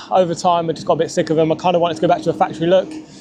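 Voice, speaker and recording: The speaker has an English accent. The pace is very fast. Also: man. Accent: English regional accent, noticeable. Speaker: car YouTuber. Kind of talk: casual vlog review. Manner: casual, conversational.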